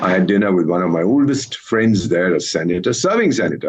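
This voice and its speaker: Lively intonation carries the speech at a moderate pace amid noticeable background noise. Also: man. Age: 70s. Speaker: former diplomat. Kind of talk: TV news debate. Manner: formal.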